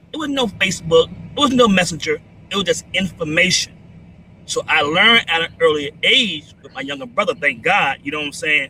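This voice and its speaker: Speaking with a New York accent, a man keeps a fairly quick pace. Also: big swings in loudness. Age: 60s. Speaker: military veteran. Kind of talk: livestream discussion.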